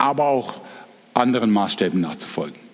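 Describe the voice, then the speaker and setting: Background noise is clearly noticeable. Through it, a man speaks at a moderate pace. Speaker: teacher giving a Bible talk. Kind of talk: Bible lecture. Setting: live audience with slides.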